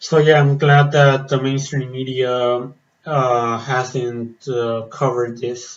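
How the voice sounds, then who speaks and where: In a room with audible echo, a man at a medium pitch speaks very slowly in a flat monotone. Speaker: metal reaction vlogger. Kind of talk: casual vlog commentary. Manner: hesitant with many fillers.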